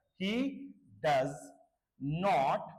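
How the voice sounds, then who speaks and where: A man's pitch swings very widely, with audible room echo around his voice. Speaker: English grammar teacher. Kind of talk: lecture.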